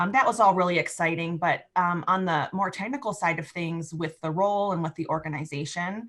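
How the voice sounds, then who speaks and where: With a Midwestern accent, a woman speaks at a fairly quick pace and hardly pauses. Her pitch is fairly low and varies in an ordinary way. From US Midwest. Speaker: economic developer. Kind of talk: interview.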